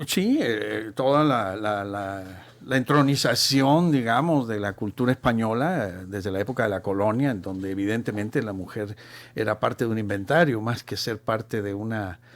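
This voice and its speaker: Ordinary pitch variation at a moderate pace. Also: man, fairly low pitch for a man. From Chile. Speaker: marketing professional and teacher. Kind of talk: radio talk show discussion. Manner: halting.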